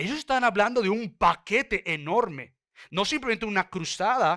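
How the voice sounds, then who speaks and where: A man with a bright, sharp tone and lively intonation, at a fairly slow pace, on a very clean recording with a silent background. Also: dry, close sound with no echo. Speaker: pastor. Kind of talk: sermon. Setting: church.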